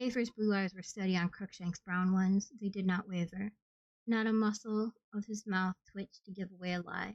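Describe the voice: Against a quiet background, the plain reading aloud has fairly even intonation.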